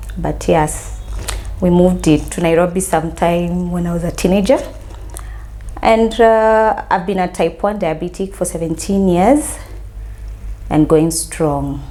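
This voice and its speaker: A woman talks at a fairly slow pace with long, frequent pauses. Noticeable background noise can be heard. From Kenya, Mombasa. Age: 30s. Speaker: counseling psychologist sharing diabetes story. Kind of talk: interview testimony.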